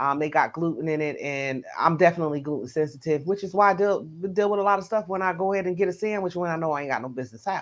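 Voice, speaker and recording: A woman speaks at a very fast pace in a Southern US accent. Her loudness swings widely, while her pitch varies in an ordinary way. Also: fairly low pitch for a woman, hardly any pauses. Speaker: live stream host. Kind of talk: casual chat. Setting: live stream.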